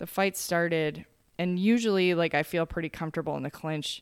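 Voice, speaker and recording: Fairly low in pitch, a woman with an unremarkable speaking voice talks at a fairly quick pace on a very clean recording with a silent background. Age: 30s. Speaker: martial arts fighter and coach. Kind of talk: casual chat.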